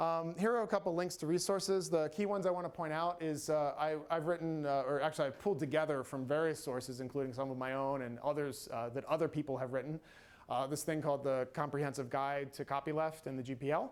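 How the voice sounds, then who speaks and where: With an American accent and a fairly high pitch, a man rushes along at a very fast pace with hardly any pauses and ordinary pitch variation. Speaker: free software advocate. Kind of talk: conference talk.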